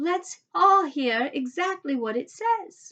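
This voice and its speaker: Using a squeaky, put-on character voice, a woman speaks in an extremely high pitch at a fairly slow pace. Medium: read story. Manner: excitable.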